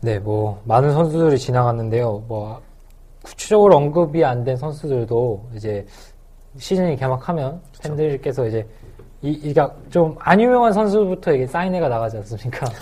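Somewhat breathy with a dark, mellow tone, a man speaks at a moderate pace and medium pitch, with lively intonation and big swings in loudness. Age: 20s. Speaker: podcast host. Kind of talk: casual chat. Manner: smooth.

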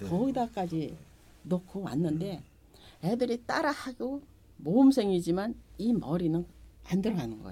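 A woman's medium pitch with vocal fry and a dark, mellow tone, very wide pitch swings, big swings in loudness, and long, frequent pauses. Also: moderate pace. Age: 70s. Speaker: market shop owner. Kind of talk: interview.

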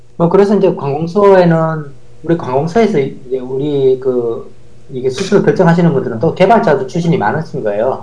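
With audible room echo and noticeable background noise, a man speaks fairly quickly in a fairly high pitch with lively intonation. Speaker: professor and former software developer. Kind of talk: casual interview chat.

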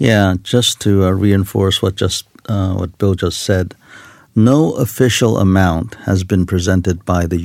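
Speaking at a fairly slow pace with a Korean accent, a man uses a very deep, low voice and fairly even intonation. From South Korea. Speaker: retired army general. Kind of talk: studio panel discussion. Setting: studio.

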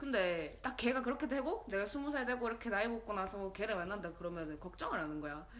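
Lively intonation at a very fast pace, with hardly any pauses. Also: woman, fairly high pitch for a woman. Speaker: podcast co-host. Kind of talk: casual chat.

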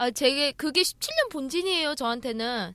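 The woman's intonation is lively, and her tempo is moderate. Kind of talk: casual chat.

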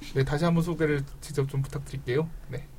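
A man is speaking. His pace is fairly quick. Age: 30s. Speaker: podcast host. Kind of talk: casual chat.

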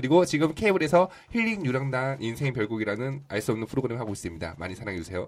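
Very fast speech from a man at a medium pitch with lively intonation. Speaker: actor. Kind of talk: casual chat. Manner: playful.

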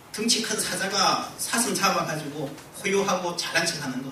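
Noticeable background noise sits behind a man who speaks very slowly in a raised, projected voice. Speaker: pastor. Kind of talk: sermon. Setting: church. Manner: earnest, impassioned, moralizing; emphatic, repeating words for effect.

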